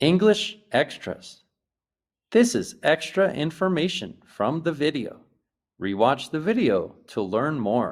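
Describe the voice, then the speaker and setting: A man's fairly high voice with vocal fry and an American accent, very wide pitch swings, and a very slow pace. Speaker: English teacher. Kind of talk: English lesson to camera. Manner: slow, clear.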